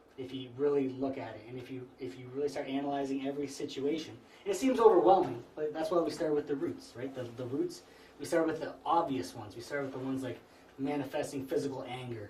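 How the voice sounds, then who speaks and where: Talking at a very fast pace, a man with a medium pitch and ordinary pitch variation shows big swings in loudness, with audible room echo and noticeable background noise. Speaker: spiritual teacher. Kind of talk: lecture. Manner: halting.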